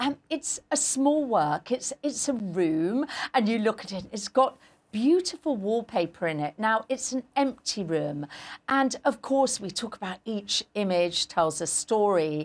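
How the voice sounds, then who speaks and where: A woman at a fairly slow pace with very wide pitch swings. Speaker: art professor guest. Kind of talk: interview answer. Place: studio. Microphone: lapel.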